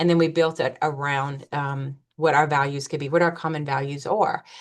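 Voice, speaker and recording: A woman speaks with a slight Louisiana accent. Her intonation stays fairly even. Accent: slight Louisiana twang. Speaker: school principal. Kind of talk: webinar presentation. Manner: fast.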